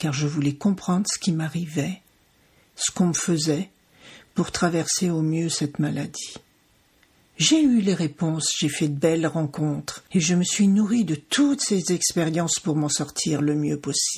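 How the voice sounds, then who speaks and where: A woman's fairly low, somewhat breathy voice, fairly slow in pace, with ordinary pitch variation. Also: very clean recording, silent background. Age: 60s. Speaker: podcast host, cancer survivor. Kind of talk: scripted podcast intro. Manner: formal.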